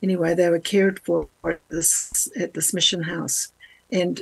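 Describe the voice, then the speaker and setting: At a fairly slow pace, a woman speaks in a fairly low pitch with vocal fry. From New Zealand. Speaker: missionary. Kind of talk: interview.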